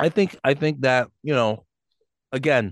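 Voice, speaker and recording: A man with an unremarkable speaking voice, medium pitch and ordinary pitch variation, at a moderate pace, with a dry, close sound and no echo. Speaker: podcast co-host. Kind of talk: casual chat. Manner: loud, talkative.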